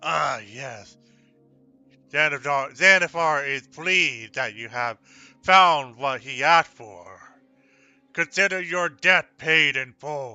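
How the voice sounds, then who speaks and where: Doing a put-on character voice, a man speaks in a raspy, fairly high pitch with ordinary pitch variation, moving at a fairly slow pace with long, frequent pauses while music plays in the background. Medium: actual play. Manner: speaks of himself in third person.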